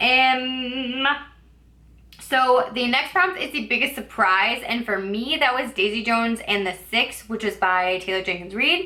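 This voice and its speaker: A woman's high voice, fairly slow in pace, with lively intonation. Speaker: booktuber. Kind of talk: casual book review vlog. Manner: filler-heavy casual speech with likes and ums; occasional stumbling.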